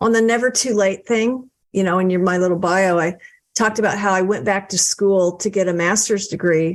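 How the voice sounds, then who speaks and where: Speaking in a plain, everyday voice, a woman keeps a medium pitch and fairly even intonation. Her pace is fairly quick and her loudness very even. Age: 60s. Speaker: author and book coach. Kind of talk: podcast interview.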